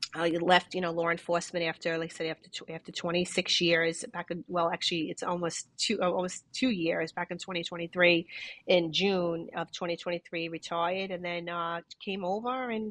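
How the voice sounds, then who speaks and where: Fairly low in pitch and fairly quick, a woman with a New York accent keeps her intonation fairly even, the sound dry and close with no echo. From New York City, Brooklyn. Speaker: retired police detective. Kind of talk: interview. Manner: halting, many repetitions.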